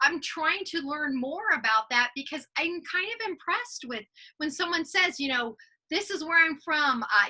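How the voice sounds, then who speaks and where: Projecting in a raised voice with an American accent, the speaker moves at a moderate pace through very wide pitch swings. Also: woman. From US military family. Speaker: podcast co-host. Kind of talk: casual chat.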